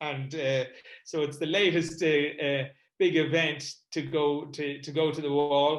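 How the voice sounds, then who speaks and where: A man talks in an Irish accent. His fairly high voice stays monotone and flat. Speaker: comedy event promoter and MS patient. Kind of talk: online panel talk.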